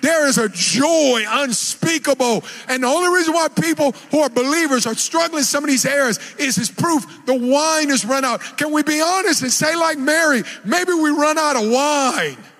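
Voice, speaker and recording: A shouting man with an extremely high pitch, animated tone and ordinary pitch variation, over noticeable background noise. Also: moderate pace, very even loudness. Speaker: preacher. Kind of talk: sermon. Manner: loud, yelling; animated, exhorting.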